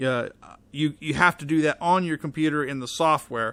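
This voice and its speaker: Loud and at a fairly quick pace, a man talks in a bright, sharp tone at a fairly high pitch. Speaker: tech reviewer. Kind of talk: product review tutorial.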